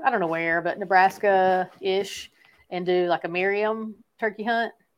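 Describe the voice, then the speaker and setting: A woman speaks in a Southern US accent at a medium pitch and a moderate pace. Her pitch variation is ordinary, and the recording is very clean with a silent background. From East Tennessee. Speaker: YouTube gear reviewer and hunter. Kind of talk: casual interview.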